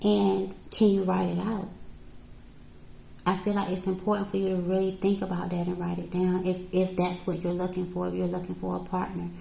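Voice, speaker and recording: A woman speaks at a fairly quick pace in a calm tone. Room echo is audible. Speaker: tarot reader. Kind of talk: tarot reading to camera. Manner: calm counselor-like.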